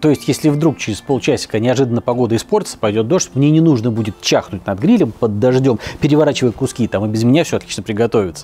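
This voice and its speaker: The speech from this man comes at a very fast pace. Music sounds faintly behind him. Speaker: cooking show host. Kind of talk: tutorial. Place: garden. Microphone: lapel.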